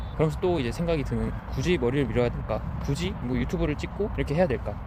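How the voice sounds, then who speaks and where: A man talking at a very fast pace, with noticeable background noise and audible room echo. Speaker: vlogger. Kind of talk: casual monologue while walking. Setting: outdoors on a walk. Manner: halting, self-correcting.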